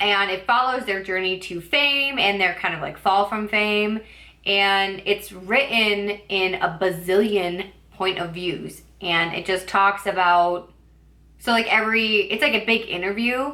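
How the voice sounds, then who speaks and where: A woman with a bright, sharp tone speaks at a fairly slow pace with ordinary pitch variation. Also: medium pitch for a woman. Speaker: booktuber. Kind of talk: casual book review vlog. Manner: filler-heavy casual speech with likes and ums; occasional stumbling.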